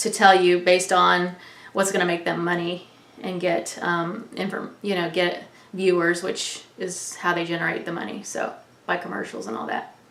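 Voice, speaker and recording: Audible room echo surrounds this woman's voice. She speaks at a moderate pace and medium pitch. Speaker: online news vlogger. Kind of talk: casual monologue.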